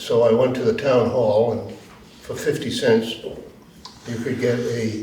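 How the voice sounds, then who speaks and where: The delivery is fairly slow, with monotone, flat intonation. Audible room echo and noticeable background noise fill the recording. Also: man. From Rhode Island. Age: 80s+. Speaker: war veteran. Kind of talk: testimony.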